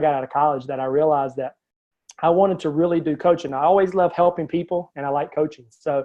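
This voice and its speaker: A man with a Southern US accent talks at a very fast pace. His pitch is fairly high, with ordinary pitch variation. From US South. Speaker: life coach. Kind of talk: interview. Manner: hesitant with many fillers.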